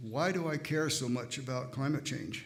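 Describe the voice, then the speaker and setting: Audible room echo around a man at a fairly high pitch and a fairly slow pace. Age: 80s+. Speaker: church member speaking at service. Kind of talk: testimony. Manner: halting.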